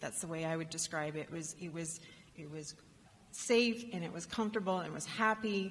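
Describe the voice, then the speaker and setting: A woman's fairly low, somewhat breathy voice with a Canadian accent, fairly quick, with ordinary pitch variation and audible room echo. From Canada. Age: 50s. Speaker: rural entrepreneurship advocate. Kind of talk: conference keynote talk. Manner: halting, with many fillers.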